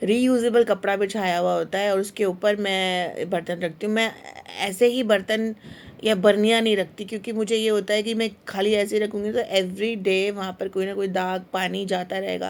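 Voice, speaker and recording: The speaker goes at a moderate pace with monotone, flat intonation. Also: woman, medium pitch for a woman. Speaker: lifestyle vlogger. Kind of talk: home vlog tutorial. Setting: home kitchen. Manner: hesitant fillers.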